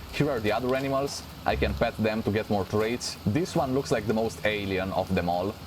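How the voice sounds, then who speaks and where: A man speaks with a fairly low pitch. Noticeable background noise runs underneath. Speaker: gaming youtuber. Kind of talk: let's play commentary. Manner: animated.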